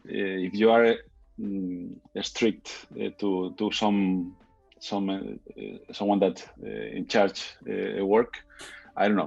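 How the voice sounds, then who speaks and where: Over music in the background, a man speaks very slowly with long, frequent pauses. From Spain. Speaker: architect and street photographer. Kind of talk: interview conversation. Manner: hesitant, many fillers.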